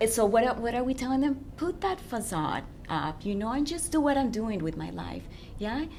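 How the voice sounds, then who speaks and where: Audible room echo surrounds a woman with a non-native accent and fairly high pitch. Her pitch swings very widely at a moderate pace. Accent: foreign accent in English. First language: not English. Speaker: relationship coach. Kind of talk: radio interview.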